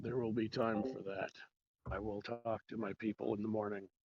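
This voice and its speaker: Doing a put-on character voice, a man speaks at a moderate pace in a raspy, fairly low pitch with fairly even intonation. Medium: actual play. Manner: curt, authoritative.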